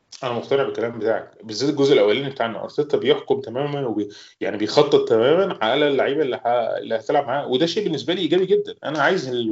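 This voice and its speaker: Hardly pausing at all, a man speaks at a very fast pace. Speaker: football fan pundit. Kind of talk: casual chat.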